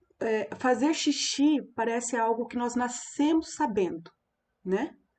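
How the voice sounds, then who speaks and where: A high-pitched woman speaks at a very slow pace with ordinary pitch variation. The background is quiet. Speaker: teacher educator giving a talk. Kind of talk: lecture.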